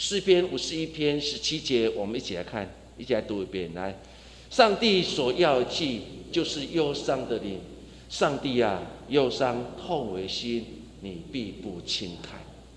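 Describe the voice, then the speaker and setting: Medium in pitch, a man's voice makes very wide pitch swings and big swings in loudness at a fairly slow pace. Audible room echo and noticeable background noise surround him. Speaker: pastor. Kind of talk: sermon. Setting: church.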